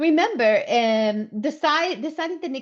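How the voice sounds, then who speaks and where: Against a quiet background, a woman speaks at a moderate pace. She has a non-native accent. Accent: foreign accent in English. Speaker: workplace safety trainer. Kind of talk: webinar presentation. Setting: online webinar.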